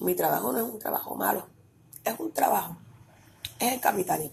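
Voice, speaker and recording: A woman talks at a moderate pace. She has a Puerto Rican accent. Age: 30s. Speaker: podcast host. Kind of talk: casual monologue.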